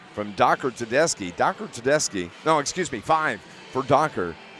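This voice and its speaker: With music in the background, a man talks in a fairly high voice. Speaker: radio sports announcer. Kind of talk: live sports commentary. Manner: halting, stumbling over words.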